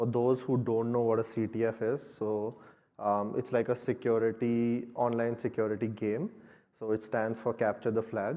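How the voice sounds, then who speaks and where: A man's moderately paced, monotone, flat delivery at medium pitch, with an Indian accent. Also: quiet background. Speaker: security engineer. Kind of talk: conference talk.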